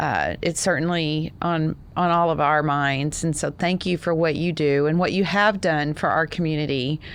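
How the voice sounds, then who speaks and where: With a Texas accent, a woman speaks in a very deep, low pitch at a moderate pace, her intonation fairly even, her loudness very even, and hardly any pauses. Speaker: podcast host and founder. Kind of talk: casual podcast chat.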